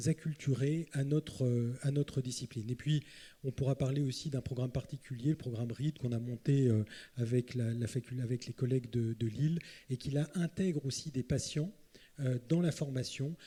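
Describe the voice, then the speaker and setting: A man speaks at a medium pitch in a somewhat breathy, dark, mellow tone with fairly even intonation. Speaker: psychiatrist, panelist. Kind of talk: round table talk. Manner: hurried, hesitant.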